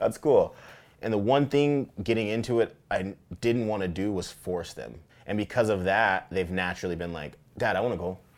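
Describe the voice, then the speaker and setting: A man speaks at a moderate pace with an American accent, in an ordinary speaking voice. His pitch is fairly low with ordinary variation, and the recording is very clean with a silent background. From Tacoma, Washington, US Pacific Northwest. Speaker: fly fisherman and outdoor advocate. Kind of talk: casual interview. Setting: outdoors on a beach.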